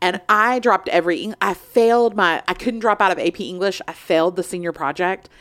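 A woman with a plain, everyday voice speaks in a medium pitch with ordinary pitch variation. Her pace is fairly quick, with hardly any pauses. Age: 40s. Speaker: podcast host. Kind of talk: casual chat.

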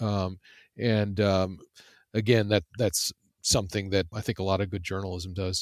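A man's fairly low, monotone voice with flat intonation at a moderate pace, long, frequent pauses, and a dry, close sound with no echo on a very clean recording with a silent background. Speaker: journalist and author. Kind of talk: interview. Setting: virtual studio. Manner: halting, many fillers and repetitions.

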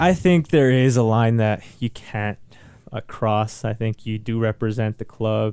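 A man with a plain, everyday voice speaks fairly slowly with an American accent, his medium pitch showing ordinary variation. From Salinas, California. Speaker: professional soccer player. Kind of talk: interview conversation. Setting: radio studio.

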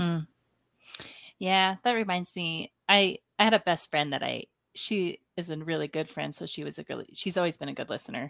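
Ordinary pitch variation from a woman with a fairly low pitch and a normal speaking voice, on a very clean recording with a silent background. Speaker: podcast host interviewer. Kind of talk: casual interview with rapid-fire questions.

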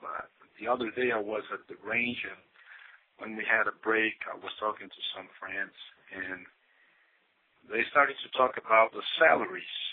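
At a moderate pace, a man with a Brazilian accent talks at a medium pitch with fairly even intonation. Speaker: listener caller. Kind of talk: voicemail message. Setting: phone voicemail.

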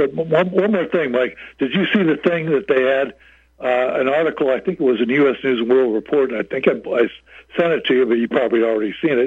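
At a fairly quick pace, a man with an American accent and medium pitch speaks with lively intonation and very even loudness. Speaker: caller. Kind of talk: call-in commentary. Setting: phone call. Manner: halting, filler-heavy, explanatory.

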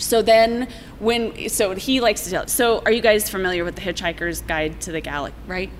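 Noticeable background noise sits behind a woman with an American accent who speaks at a fairly quick pace, with medium pitch and ordinary pitch variation. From Colorado, Littleton/Lakewood area. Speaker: brewery co-owner. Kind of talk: casual chat.

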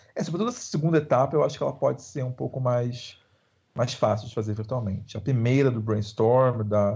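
This man has a plain, everyday voice at medium pitch and speaks at a moderate pace. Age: 30s. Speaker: screenwriter. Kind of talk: interview.

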